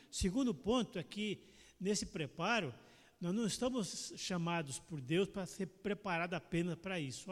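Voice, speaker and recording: Speaking at a moderate pace, this man has a high pitch and lively intonation. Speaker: church member. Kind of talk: Sunday school class discussion.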